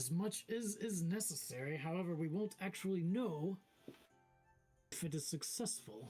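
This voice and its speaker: A put-on character voice at a middle pitch, with long, frequent pauses and faint music in the background. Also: moderate pace. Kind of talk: tabletop game master voicing. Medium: actual play. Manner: earnest, formal.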